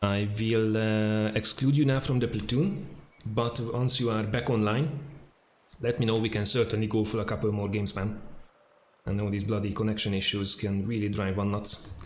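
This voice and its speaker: A man speaks in a strong Hungarian accent at a fairly low pitch and moderate pace. His intonation is fairly even, with audible room echo. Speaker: video game streamer. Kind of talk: live gameplay stream chat. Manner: casual, hesitant with fillers.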